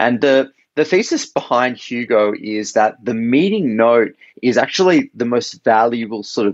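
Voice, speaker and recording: Using ordinary pitch variation, a man with an Australian accent speaks at a moderate pace in a medium pitch. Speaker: startup co-founder. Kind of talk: podcast interview. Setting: remote call. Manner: hesitant, many fillers.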